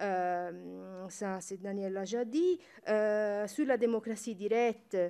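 A woman speaks at a very slow pace with a medium pitch. Her tone is dark and mellow, with ordinary pitch variation. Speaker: university researcher; panelist. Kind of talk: conference talk. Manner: halting, many hesitations and self-corrections. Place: hall. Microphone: podium.

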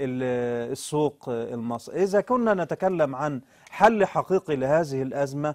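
The speaker is a man. The background is quiet. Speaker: studio guest commentator. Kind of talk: interview answer. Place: studio.

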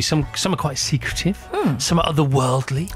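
With ordinary pitch variation, a man talks at a moderate pace while faint music sounds in the background. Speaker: radio show host. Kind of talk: radio interview banter. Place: studio.

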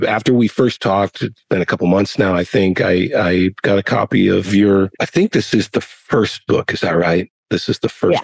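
A man speaks at a fairly low pitch with ordinary pitch variation. The sound is dry with no echo against a quiet background. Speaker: podcast host. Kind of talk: interview question. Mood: warm, earnest. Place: home room. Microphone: studio mic.

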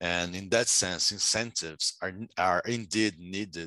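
Against a quiet background, a man's bright, sharp voice moves at a fairly slow pace with ordinary pitch variation and a dry sound with no echo. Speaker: economics graduate student and session moderator. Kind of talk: academic conference presentation. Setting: video call. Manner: halting, many filler words. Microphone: video call.

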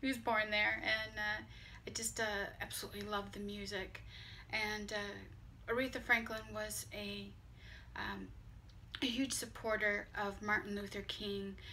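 A woman at a moderate pace with long, frequent pauses over light background noise. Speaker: vlogger. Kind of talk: casual vlog chat. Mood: warm, slightly emotional tribute. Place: home room. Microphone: phone near.

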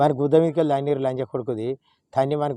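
Medium in pitch, a man speaks with a dark, mellow tone and fairly even intonation. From Telangana, Karimnagar district. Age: old. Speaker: farmer. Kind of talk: emotional public appeal to a politician. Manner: pleading, emotional.

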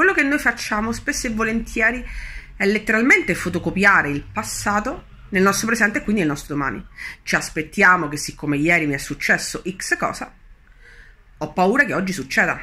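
Bright and sharp in tone, a woman speaks at a fairly quick pace. Her pitch makes very wide swings. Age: 30s. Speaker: spiritual coach; law of attraction coach. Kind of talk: video monologue teaching. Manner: hesitant with fillers. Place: home room. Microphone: phone near.

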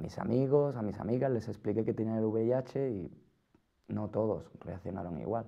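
Here is a man with a medium-pitched voice. The rise and fall of his pitch is ordinary. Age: 20s. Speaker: person living with HIV. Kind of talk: scripted testimony.

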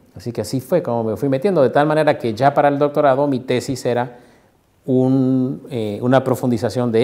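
A man speaks at a moderate pace and a medium pitch. His tone is dark and mellow. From Mexico, Morelia (Michoacán); Michoacán, Mexico. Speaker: sociologist and university researcher. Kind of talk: interview. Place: office. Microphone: lapel.

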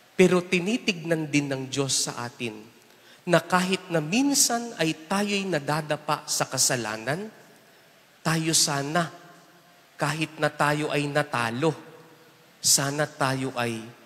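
A man with a fairly high pitch and lively intonation, at a very slow pace with long, frequent pauses. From Philippines. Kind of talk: homily at Mass, preacher talking to the congregation with humor and everyday examples. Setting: church, Mass with congregation. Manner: animated, conversational, teasing the congregation with rhetorical questions; switches between Tagalog and English, warm and humorous. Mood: earnest, lightly humorous. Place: church. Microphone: handheld.

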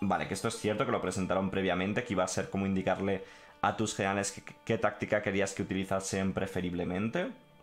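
A man talks at a very fast pace and a fairly low pitch, with monotone, flat intonation and very even loudness. Faint music plays in the background. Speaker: gaming streamer. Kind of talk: live stream commentary, reading and translating a text.

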